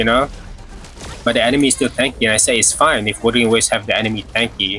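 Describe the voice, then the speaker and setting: A man rattles off his words at a very fast pace, his loudness very even, while noticeable background noise runs underneath. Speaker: gaming streamer. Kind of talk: casual livestream chat. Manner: casual, halting with repeats.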